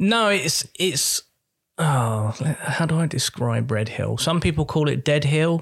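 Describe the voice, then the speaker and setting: Somewhat breathy and fairly high-pitched, a man with a British accent speaks at a very slow pace with lively intonation. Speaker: podcast co-host. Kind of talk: casual comedic chat.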